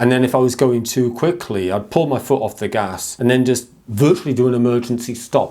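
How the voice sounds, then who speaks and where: With an English accent, a man with a dark, mellow tone speaks at a medium pitch and a fairly quick pace. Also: ordinary pitch variation, hardly any pauses. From England. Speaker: mental health vlogger. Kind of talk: personal talk to camera.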